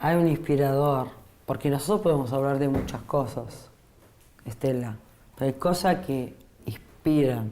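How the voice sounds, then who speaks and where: A woman with a very deep, low pitch and a dark, mellow tone speaks fairly slowly, with ordinary pitch variation and long, frequent pauses. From Italy. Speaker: radio host. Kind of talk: radio interview.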